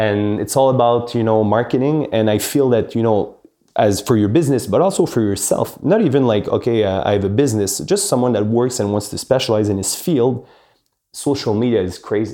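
With a Quebec accent, a man speaks at a fairly quick pace in a medium pitch, his dark, mellow tone carrying ordinary pitch variation. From Quebec, with teen years in Paris. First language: French. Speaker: real estate executive. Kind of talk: interview. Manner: hesitant, many fillers.

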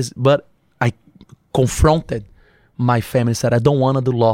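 A man with a dark, mellow tone in a dry, close sound with no echo. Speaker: entrepreneur. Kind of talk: casual chat. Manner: animated.

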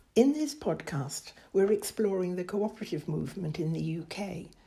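A woman's somewhat breathy voice, dark and mellow in tone, fairly low in pitch. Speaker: interviewer, podcast team member. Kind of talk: interview with scripted narration. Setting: on location at a farm.

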